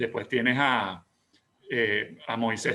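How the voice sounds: Bright and sharp in tone, a man speaks at medium pitch.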